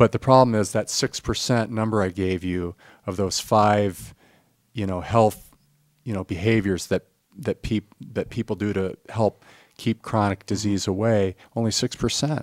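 A man with an unremarkable speaking voice talks at a moderate pace and fairly low pitch, with fairly even intonation, in a dry, close sound with no echo. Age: 50s. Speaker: financial advisor and wellness coach. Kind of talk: casual interview.

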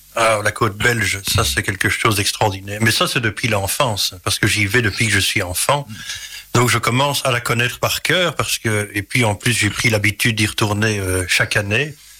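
A man's medium-pitched voice at a moderate pace, with ordinary pitch variation, very even loudness and noticeable background noise. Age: 40s. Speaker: singer-songwriter. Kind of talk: interview. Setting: radio studio.

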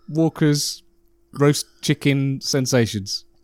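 A man talks with a British accent. The recording is very clean against a silent background. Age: 40s. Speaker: podcast host. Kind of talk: casual chat.

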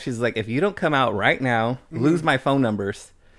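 A man with an American accent and a plain, everyday voice talks fairly quickly at medium pitch with ordinary pitch variation. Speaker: guest cousin. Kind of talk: casual chat. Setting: studio.

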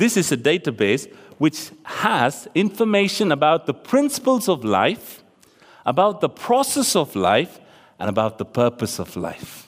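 This man speaks at a fairly slow pace in a fairly high, animated voice with vocal fry and very wide pitch swings. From Tamil-speaking region of South Asia. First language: Tamil. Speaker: preacher. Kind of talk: sermon. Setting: church. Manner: animated, conversational.

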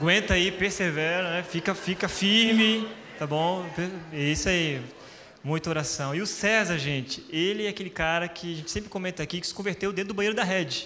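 A man speaks with ordinary pitch variation at a moderate pace. Noticeable background noise is present. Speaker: pastor. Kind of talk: church stage interview. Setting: stage with audience.

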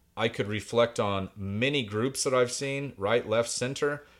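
A Midwestern US accent at a moderate pace with ordinary pitch variation, on a very clean recording with a silent background. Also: man. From Indiana (Greenwood). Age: 40s. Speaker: poet. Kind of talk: casual chat.

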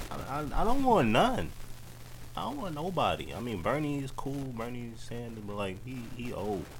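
A man of medium pitch talks at a moderate pace with an American accent, somewhat breathy and with lively intonation. His loudness swings widely, and audible room echo surrounds him. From New York (Queens). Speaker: podcast host. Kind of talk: casual chat. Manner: animated.

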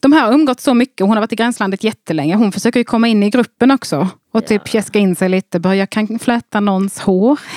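The speech comes at a very fast pace, its loudness very even throughout. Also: woman, fairly high pitch for a woman, ordinary pitch variation, dry, close sound with no echo. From Skåne, southern Sweden (Bjärnum). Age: 30s. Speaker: comedian and podcaster. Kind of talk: casual chat.

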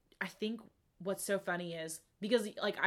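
On a very clean recording with a silent background, a woman speaks at a fairly slow pace with an American accent. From United States. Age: 20s. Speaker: podcast co-host, college student. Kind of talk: casual chat. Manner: animated.

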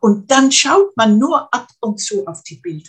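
A woman speaks with a fairly high, somewhat breathy voice. Her pitch swings very widely. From Netherlands (Arnhem). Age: 80s+. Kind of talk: interview. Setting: video call. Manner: halting, repeats words.

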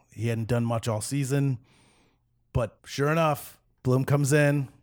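A man talks at a moderate speed in a medium-pitched voice, its pitch varying in an ordinary way. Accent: American. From Chicago South Side. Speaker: sports fan guest. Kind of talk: casual chat.

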